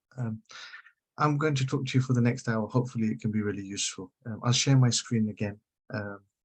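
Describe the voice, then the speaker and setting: The voice is somewhat breathy and moves at a very fast pace, with ordinary pitch variation. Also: man, medium pitch for a man. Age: 50s. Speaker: social media consultant. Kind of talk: webinar presentation.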